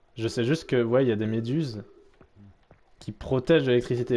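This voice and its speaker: Background music under a man's medium-pitched speech. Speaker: streamer. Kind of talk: let's play commentary. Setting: live stream.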